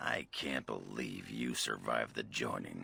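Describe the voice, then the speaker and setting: In a put-on character voice, a man growls at a very deep, low pitch and a moderate pace. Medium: video game. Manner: gruff, crude.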